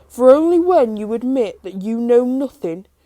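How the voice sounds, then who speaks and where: Using a put-on character voice, a woman is heard on a very clean recording against a silent background. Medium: read story. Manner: cryptic and teasing.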